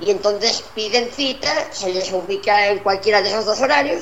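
Moderately paced speech with ordinary pitch variation is heard with audible room echo and noticeable background noise. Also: woman. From Spain. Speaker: academy director. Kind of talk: interview. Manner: halting.

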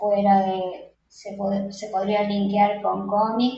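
A somewhat breathy woman at medium pitch, flat and monotone, with audible room echo. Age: 50s. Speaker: psychologist and photographer. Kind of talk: interview.

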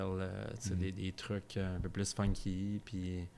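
A man speaks in a Quebec accent. His very deep, low voice has monotone, flat intonation. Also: very clean recording, silent background. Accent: Québécois French. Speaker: brewer. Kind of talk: casual chat. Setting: recorded at a bar.

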